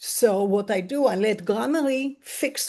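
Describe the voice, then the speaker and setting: Speaking with a non-native accent, a woman uses a medium pitch, a dark, mellow tone and lively intonation. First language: not English. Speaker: webinar attendee. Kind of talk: audience question.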